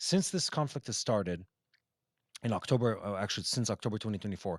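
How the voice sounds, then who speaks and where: A man speaks fairly quickly with an American accent and very wide pitch swings. The sound is dry and close with no echo, on a very clean recording with a silent background. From Israel. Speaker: news show host. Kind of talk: live news Q&A broadcast. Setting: outdoors downtown Jerusalem, live.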